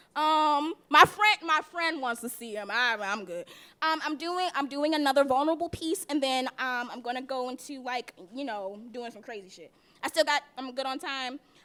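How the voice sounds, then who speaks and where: Raising and projecting her high voice, a woman speaks at a moderate pace with a bright, sharp tone and lively intonation. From South Jersey, Atlantic City; moved to Baltimore at twelve. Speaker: spoken word poet. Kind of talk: spoken word poetry performance. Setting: stage with audience at open mic.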